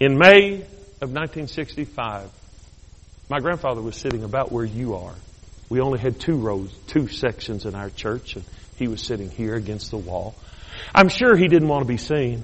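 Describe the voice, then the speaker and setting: A man with a medium pitch talks at a moderate pace, with lively intonation and big swings in loudness. Long, frequent pauses break his speech, and audible room echo is present. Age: 50s. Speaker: bishop, guest preacher. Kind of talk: sermon. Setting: church service. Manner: animated.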